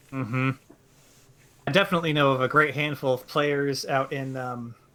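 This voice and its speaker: A man with an American accent, fairly high pitch, fairly even intonation and moderate pace, amid noticeable background noise. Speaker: game commentator. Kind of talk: live commentary.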